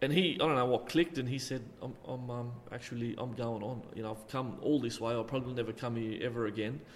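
A man with an Australian accent speaks very fast, with hardly any pauses and fairly even intonation. His voice sits at a medium pitch, and the room echo is audible. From Australia, Illawarra region (NSW). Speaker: retired football referee. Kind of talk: interview. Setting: community hall.

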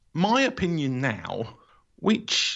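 With a London accent, a man speaks using lively intonation. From London area, England. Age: 40s. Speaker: author and podcaster. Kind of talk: casual interview. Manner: hesitant, many fillers.

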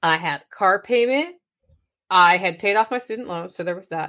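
A woman speaks in an American accent at a medium pitch and a moderate pace. She has an unremarkable speaking voice. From Oregon. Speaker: podcaster and motivational speaker. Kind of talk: casual interview.

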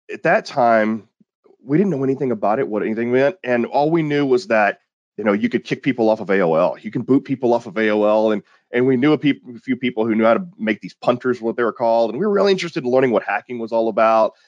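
Against a quiet background, a man with an American accent talks at a very fast pace with lively intonation. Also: medium pitch for a man, dry, close sound with no echo. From Texas, small town near Houston. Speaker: security company founder and researcher. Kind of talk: interview.

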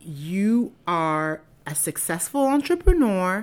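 On a very clean recording with a silent background, a woman at medium pitch speaks with a warm, enthusiastic tone and lively intonation. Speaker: podcast host. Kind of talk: interview.

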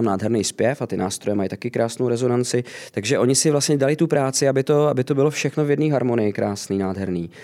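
Over noticeable background noise, a man talks very fast at a medium pitch with hardly any pauses. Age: 30s. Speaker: singer in a tribute band. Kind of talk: interview.

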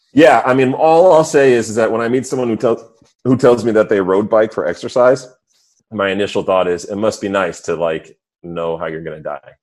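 Using a normal speaking voice, a man with an American accent talks at a fairly quick pace in a medium pitch, with lively intonation and big swings in loudness. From suburbs of New York City. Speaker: podcast co-host. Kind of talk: casual chat.

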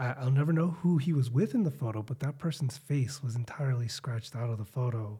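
A man with an American accent at a very fast pace, medium in pitch, with ordinary pitch variation and a dark, mellow, somewhat breathy tone. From Chicago, US. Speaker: podcast host, teacher. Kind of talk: casual chat.

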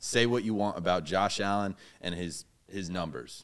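In an American accent, a man with a very deep, low pitch talks at a moderate pace in an animated tone with ordinary pitch variation. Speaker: guest and sports fan. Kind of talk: casual sports banter. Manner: joking, animated.

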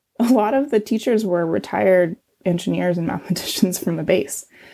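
A woman speaks at a medium pitch with vocal fry and ordinary pitch variation. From Ridgecrest, California, US. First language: Chinese. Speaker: environmental scientist. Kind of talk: interview.

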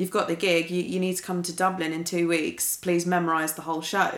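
A woman speaks in a plain, everyday voice at medium pitch. Her pace is fairly quick. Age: 20s. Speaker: musical director and saxophonist. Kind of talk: interview.

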